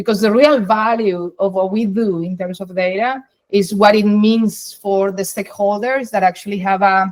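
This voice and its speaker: A woman speaks at a moderate pace, her medium-pitched voice carrying fairly even intonation. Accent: Spanish. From Colombia. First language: Spanish. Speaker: data science executive. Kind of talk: interview.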